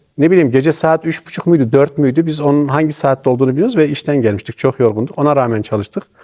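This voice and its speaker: A dark, mellow tone marks this man's voice. Ordinary pitch variation runs through his speech. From Niğde, central Anatolia, Turkey. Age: 50s. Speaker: retired amateur theatre actor. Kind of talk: interview.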